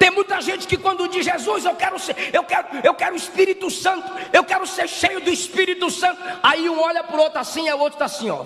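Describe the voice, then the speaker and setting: With a Brazilian accent, a man uses a raised, projected voice at an extremely high pitch and a very fast pace. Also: ordinary pitch variation. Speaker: preacher. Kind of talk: fiery sermon to a live church congregation, rhetorical repetition, mocking sarcasm. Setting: church with congregation. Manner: sarcastic, scolding, humorous. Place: church. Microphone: podium.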